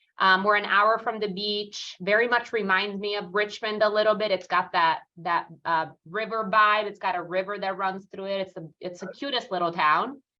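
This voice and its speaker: Someone speaks at a moderate pace with a slight Italian accent and fairly even intonation. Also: woman. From Italy, near Rome. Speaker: real estate team leader. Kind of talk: interview. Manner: many fillers, pauses to think.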